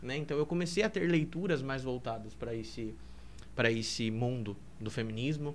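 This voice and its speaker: This man speaks at a moderate pace and a medium pitch. Room echo is audible around him. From Brazil, Piedade (São Paulo state). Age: 20s. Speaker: seminarian. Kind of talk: podcast interview.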